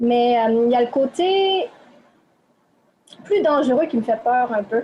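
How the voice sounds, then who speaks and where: A woman with a Quebec accent, fairly high-pitched, at a very slow pace. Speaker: interviewee. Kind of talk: interview. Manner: hesitant.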